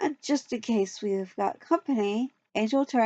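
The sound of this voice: The background is quiet. The reading voice sounds unforced.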